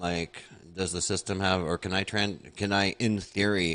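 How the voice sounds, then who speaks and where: A man mumbles with a strong American accent against a quiet background. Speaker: podcast host. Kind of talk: interview. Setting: live stream. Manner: fast; mumbling.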